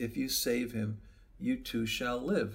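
At a fairly slow pace, a man puts on a character voice at a medium pitch. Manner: warm.

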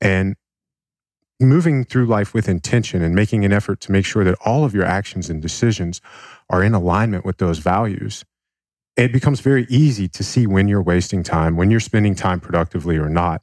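A man with an ordinary speaking voice talks fairly quickly at a fairly low pitch. His pitch varies in an ordinary way, and the sound is dry and close with no echo. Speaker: author and performance coach. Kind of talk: casual interview. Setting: studio.

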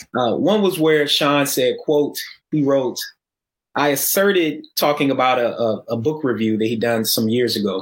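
With an American accent, a man uses an ordinary speaking voice at a fairly high pitch, speaking at a fairly slow pace with lively intonation and very even loudness. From Atlanta, US South. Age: 40s. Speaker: sociology professor. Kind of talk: panel discussion.

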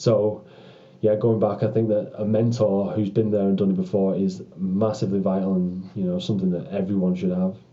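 A man speaks in a British accent with a fairly low pitch. His delivery is fairly quick and his intonation monotone and flat. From UK. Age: 30s. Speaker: former pro rugby player. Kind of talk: interview conversation. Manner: halting, many fillers and repetitions.

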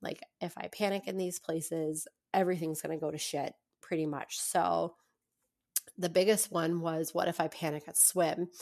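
Speaking at a moderate pace, a woman with an American accent has a fairly low pitch. Her intonation is monotone and flat. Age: 30s. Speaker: personal trainer and former therapist. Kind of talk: personal testimony in interview.

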